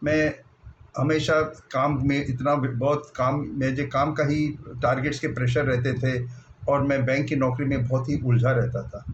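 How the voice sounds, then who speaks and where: The voice is somewhat breathy and monotone, with flat intonation and audible room echo. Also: man, medium pitch for a man. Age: 60s. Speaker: retired bank officer, diet program participant. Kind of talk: personal testimony.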